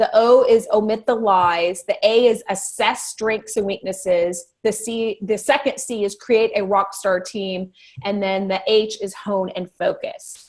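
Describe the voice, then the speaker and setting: A normal speaking voice from a woman, fairly high in pitch with ordinary pitch variation, at a fairly slow pace with hardly any pauses. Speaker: life coach. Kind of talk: online workshop Q&A.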